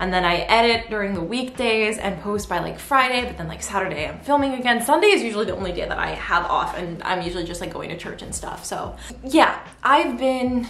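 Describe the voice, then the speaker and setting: With audible room echo and noticeable background noise, a woman talks at a fairly quick pace in a fairly high pitch with lively intonation. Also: big swings in loudness. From United States. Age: 20s. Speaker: YouTuber and English teacher. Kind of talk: casual chat. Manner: rambling, filler-heavy.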